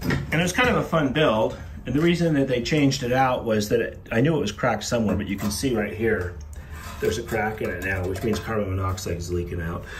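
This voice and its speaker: A man rattles off his words very fast with noticeable background noise behind him. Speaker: father vlogger. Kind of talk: casual vlog chat. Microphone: phone near.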